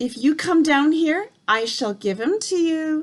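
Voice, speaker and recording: A woman puts on a raspy character voice, pitched high. She speaks at a fairly slow pace. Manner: sinister, coaxing.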